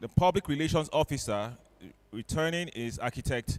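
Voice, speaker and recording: The pace is moderate, with ordinary pitch variation. The sound is dry and close, with no echo. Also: man. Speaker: electoral officer announcing election results at a professional meeting. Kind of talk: formal announcement at a meeting. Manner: halting.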